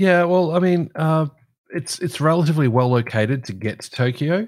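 In an Australian accent, a man speaks at a fairly high pitch. The recording is very clean, with a silent background. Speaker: aviation podcast co-host. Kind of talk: casual chat.

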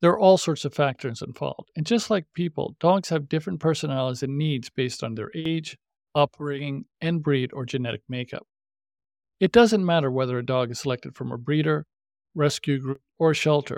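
Recorded very cleanly against a silent background, with a dry, close sound and no echo, a man with a normal speaking voice talks at a fairly quick pace and a fairly high pitch, using ordinary pitch variation. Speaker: podcast host. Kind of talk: podcast intro and interview.

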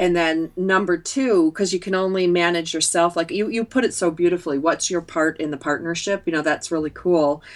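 With an American accent and an ordinary speaking voice, a woman talks at a fairly quick pace with ordinary pitch variation and hardly any pauses. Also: fairly low pitch for a woman. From upstate New York. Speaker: entrepreneur and author. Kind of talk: interview.

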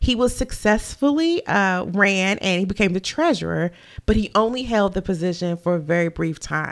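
This woman speaks at a medium pitch with lively intonation on a very clean recording with a silent background. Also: moderate pace. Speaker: true crime podcast host. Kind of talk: podcast narration of a true crime case. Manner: stumbles over words.

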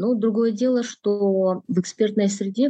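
A woman speaks at a moderate pace. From Kyrgyzstan. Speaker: political analyst. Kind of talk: interview. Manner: hesitant with many fillers.

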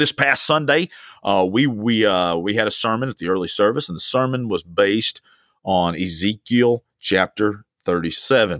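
With a Southern US accent, a man talks at a moderate pace in a fairly low pitch, his tone animated and his intonation lively, on a very clean recording with a silent background and a dry, close sound with no echo. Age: 40s. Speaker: pastor. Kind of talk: podcast sermon. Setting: alone in a room.

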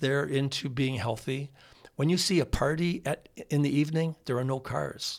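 A normal speaking voice with an American accent, a moderate pace and fairly even intonation. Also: man, fairly high pitch for a man. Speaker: dentist and former radio host. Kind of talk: casual chat. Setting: studio.

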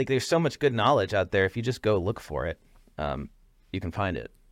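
Over a very clean recording with a silent background, a man with vocal fry talks at a moderate pace and a fairly low pitch. The sound is dry and close with no echo, and his intonation is lively. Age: 40s. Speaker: podcast co-host and app founder. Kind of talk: interview. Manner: casual, conversational.

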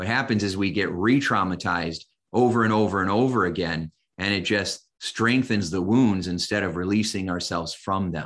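A man with a Midwestern American accent, fairly low in pitch, at a moderate pace over a quiet background. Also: ordinary pitch variation. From US Midwest, Indiana. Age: 50s. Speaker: hypnotist and coach. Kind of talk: casual interview.

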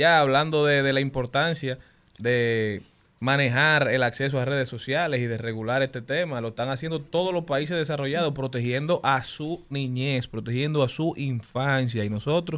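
In an unremarkable speaking voice, a man talks at a moderate pace with a fairly high pitch and ordinary pitch variation. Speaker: radio host. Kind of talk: casual radio chat. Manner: jokey.

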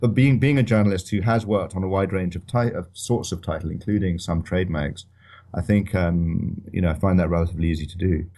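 Against a quiet background, a man with a very deep, low pitch and a dark, mellow tone talks at a very fast pace. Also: ordinary pitch variation. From Scotland, Edinburgh. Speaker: financial journalist and author. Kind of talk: interview.

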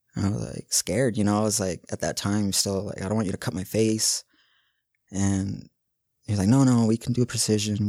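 A man with a normal speaking voice and an American accent talks at a fairly quick pace and fairly low pitch, with fairly even intonation. The recording is very clean, dry and close, with no echo and a silent background. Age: 30s. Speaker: medical cannabis patient. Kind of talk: interview testimony.

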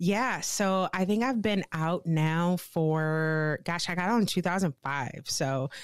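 The recording is very clean with a silent background, and a woman speaks with a Midwestern American accent. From US Midwest, St. Louis, Missouri. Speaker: Marine Corps veteran and bike tourer. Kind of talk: interview.

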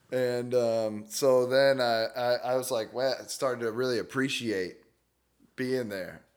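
A man with an American accent has a plain, everyday voice, medium in pitch, speaking at a fairly slow pace with fairly even intonation. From Humboldt County, Northern California. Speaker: comedian. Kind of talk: casual chat.

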